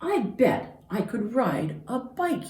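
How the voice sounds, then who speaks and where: This put-on character voice sits at a fairly high pitch and moves through very wide pitch swings. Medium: read story.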